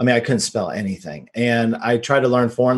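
Here is a man with a plain, everyday voice and an American accent. He speaks at a moderate pace and medium pitch. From US, Texas (Dallas suburb). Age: 40s. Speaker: real estate investor and entrepreneur. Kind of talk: casual interview.

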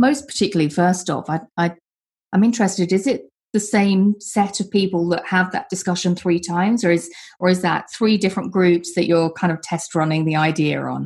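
A woman's somewhat breathy, medium-pitched voice with ordinary pitch variation at a fairly quick pace, against a quiet background. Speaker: podcast host. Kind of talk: panel discussion moderating.

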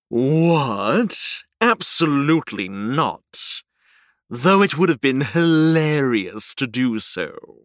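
In a put-on character voice, a man talks very slowly and fairly high, his pitch swinging very widely, on a very clean recording with a silent background. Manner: smug, dismissive, mocking.

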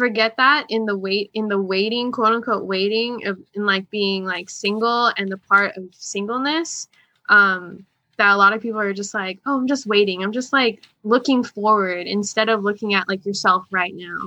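Against a quiet background, a woman with an ordinary speaking voice talks at medium pitch and a moderate pace, her intonation fairly even. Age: 20s. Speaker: young adult and youth music minister. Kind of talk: casual chat.

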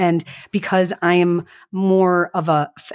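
In an American accent, a woman speaks at a fairly low pitch with monotone, flat intonation, in a very clean recording with a silent background and a dry, close sound with no echo. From Chicago western suburbs, US Midwest. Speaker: podcast co-host and business owner. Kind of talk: casual chat.

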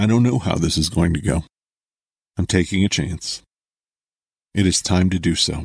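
A man with a very deep, low, somewhat breathy voice talks at a moderate pace with ordinary pitch variation. He leaves long, frequent pauses, and the sound is dry and close with no echo. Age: 40s. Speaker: philosophy podcaster. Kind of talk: solo monologue. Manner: formal.

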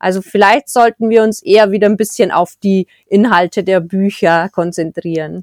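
Dry and close with no echo, a woman's plain, everyday voice comes at medium pitch and moderate pace with fairly even intonation. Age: 40s. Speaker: book blogger. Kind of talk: interview.

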